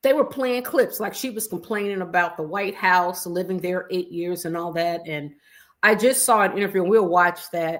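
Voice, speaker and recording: An American-accented woman talks at a medium pitch and moderate pace in an unremarkable speaking voice, with ordinary pitch variation and a very clean recording over a silent background. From US Midwest, Chicago. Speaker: YouTube commentator. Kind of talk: casual livestream commentary. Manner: casual, conversational with fillers.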